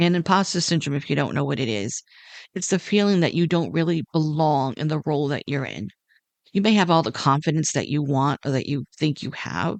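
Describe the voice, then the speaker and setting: A woman's very deep, low voice with lively intonation and a fairly quick pace, in a dry, close sound with no echo against a quiet background. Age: 60s. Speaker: podcast host. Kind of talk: reflective monologue. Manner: gentle, soft-spoken.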